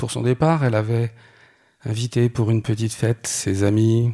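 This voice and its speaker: A man's dark, mellow tone at medium pitch, with fairly even intonation and a moderate pace. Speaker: storyteller. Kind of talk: personal testimony.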